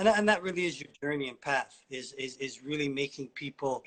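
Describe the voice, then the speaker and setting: A man moves at a fairly quick pace, using ordinary pitch variation. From Ontario, Canada. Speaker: interviewer on social media livestream. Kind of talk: casual interview. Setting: Instagram livestream. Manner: halting, many fillers and repetitions.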